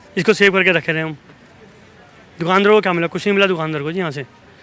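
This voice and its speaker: A man's high-pitched voice with fairly even intonation, crowd noise in the background. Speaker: shopkeeper. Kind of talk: street interview. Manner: soft-spoken.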